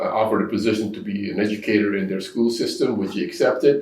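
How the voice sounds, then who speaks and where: Very fast male speech amid noticeable background noise and audible room echo. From Indonesia, then Netherlands; US Midwest from age 11. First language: Indonesian. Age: 70s. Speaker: business owner. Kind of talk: podcast interview.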